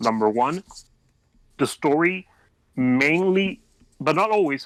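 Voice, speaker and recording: Here is a man with a non-native accent. His intonation is lively. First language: not English. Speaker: fan fiction writer. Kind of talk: podcast interview. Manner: halting.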